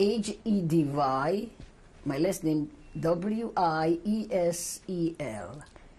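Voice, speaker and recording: Very slowly and somewhat breathily, a woman talks with lively intonation, a fairly low pitch and a dark, mellow tone. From Czechoslovakia, Uzhhorod. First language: not English. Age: 70s. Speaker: Holocaust survivor. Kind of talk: testimony. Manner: halting.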